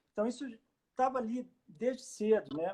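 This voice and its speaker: This is a man's voice. He has a slight mineiro accent. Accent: mild Minas Gerais accent, close to Rio. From Brazil, Juiz de Fora (Minas Gerais). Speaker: baroque violinist and educator. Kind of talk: casual interview chat. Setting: Instagram live video call. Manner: hesitant, many fillers.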